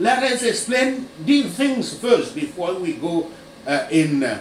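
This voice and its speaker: A man's voice carries audible room echo with light noise in the background. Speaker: preacher. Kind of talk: sermon.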